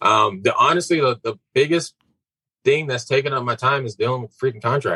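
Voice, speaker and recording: A man with an American accent speaks at a fairly quick pace in a dry, close sound with no echo. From Houston, Texas. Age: 30s. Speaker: realtor and real estate investor. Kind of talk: casual interview chat.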